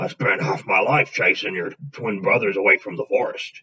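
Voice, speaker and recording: A man uses a put-on character voice that is raspy. He talks at a moderate pace. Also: medium pitch for a man. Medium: read story. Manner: gruff, homely.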